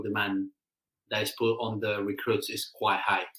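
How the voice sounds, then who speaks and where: A man speaks with a bright, sharp tone. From South America. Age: 30s. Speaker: firefighter. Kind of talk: casual interview. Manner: halting, many repetitions and fillers.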